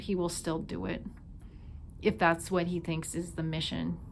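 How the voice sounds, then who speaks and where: Speaking at a moderate pace, a woman has a slight Minnesota accent. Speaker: tarot reader. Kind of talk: intuitive tarot reading. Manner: casual, filler-heavy.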